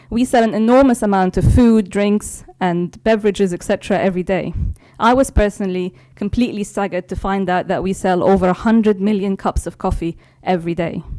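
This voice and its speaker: The speaker talks with a London accent and fairly even intonation. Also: woman, medium pitch for a woman. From London, England. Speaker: corporate IT executive. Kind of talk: keynote speech. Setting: stage with audience. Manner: formal.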